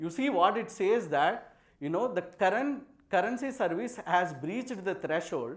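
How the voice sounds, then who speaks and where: With audible room echo, a man of high pitch talks at a moderate pace, his pitch swinging very widely. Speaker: software architect giving a tech talk. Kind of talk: conference talk with live demo.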